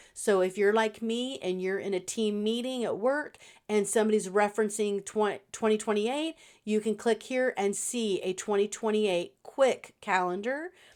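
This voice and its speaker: A woman with an unremarkable speaking voice, fairly high pitch, ordinary pitch variation and a moderate pace, on a very clean recording with a silent background. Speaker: digital planner designer. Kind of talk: product walkthrough tutorial. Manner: casual with many fillers.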